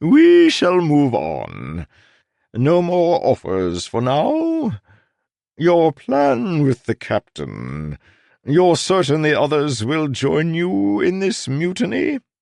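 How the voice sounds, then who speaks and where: A man's put-on character voice, fairly high in pitch and very slow, with a dry, close sound, no echo and a quiet background. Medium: read story. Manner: courteous, unctuous, repeats words.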